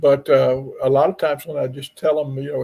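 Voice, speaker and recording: This man has a dark, mellow tone that is somewhat breathy. He speaks at a moderate pace with ordinary pitch variation. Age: 70s. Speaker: paranormal investigator. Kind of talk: podcast interview.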